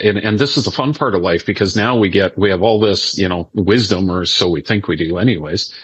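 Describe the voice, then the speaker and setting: In a normal speaking voice, a man with a fairly low pitch and ordinary pitch variation talks at a fairly quick pace with hardly any pauses. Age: 50s. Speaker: podcast host. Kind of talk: interview.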